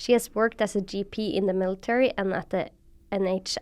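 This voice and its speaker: A woman speaks at a moderate pace in a medium pitch. Hers is an unremarkable speaking voice. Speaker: medical doctor, podcast host. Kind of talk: podcast interview talk.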